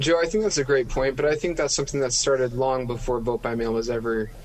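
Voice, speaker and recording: With an American accent, a man talks at a very fast pace in a medium pitch over noticeable background noise. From central Utah, US. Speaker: opinion writer. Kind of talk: interview.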